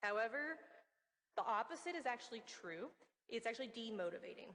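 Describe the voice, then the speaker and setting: A woman talking at a very fast pace, with an American accent. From US, West Virginia. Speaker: research meteorologist, conference speaker. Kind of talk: conference talk.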